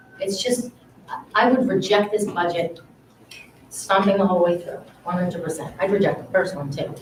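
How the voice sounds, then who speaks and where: Audible room echo and noticeable background noise mark the recording. Within it, a woman talks at a medium pitch. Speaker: parent speaking at public comment. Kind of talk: public comment at school committee meeting. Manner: fast; animated.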